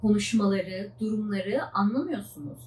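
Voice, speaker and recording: A woman talks at medium pitch and a fairly quick pace, somewhat breathy. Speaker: PhD student vlogger. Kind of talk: casual vlog monologue.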